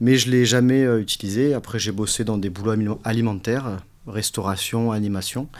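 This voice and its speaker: At a moderate pace and medium pitch, a man talks in a plain, everyday voice with fairly even intonation. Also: very clean recording, silent background. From southern France, Nice. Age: 40s. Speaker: business owner, HVAC company. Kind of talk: interview, casual chat.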